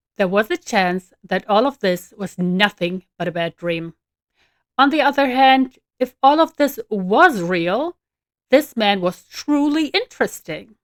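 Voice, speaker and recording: In an unremarkable speaking voice, a woman talks at a fairly slow pace with lively intonation, the sound dry and close with no echo. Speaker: author reading own novel. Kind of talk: audiobook fiction narration.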